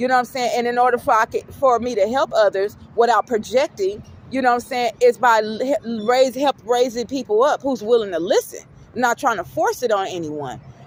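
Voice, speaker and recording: A woman with a high pitch at a fairly quick pace, with ordinary pitch variation, a dry, close sound with no echo and noticeable background noise. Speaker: spiritual vlogger. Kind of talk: casual monologue. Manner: halting.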